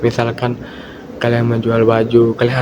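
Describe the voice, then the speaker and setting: A man talks over noticeable background noise. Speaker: university student. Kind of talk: student presentation. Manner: uneven volume and pitch; hesitant, many fillers.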